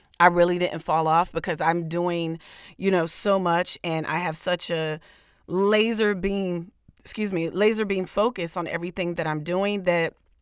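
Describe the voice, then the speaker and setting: A woman with a fairly low, raspy voice speaks fairly slowly in an energetic, enthusiastic tone on a very clean recording with a silent background. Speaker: podcast host; comedian.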